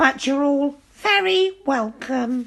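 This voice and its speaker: A woman's put-on character voice at a high pitch. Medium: read story.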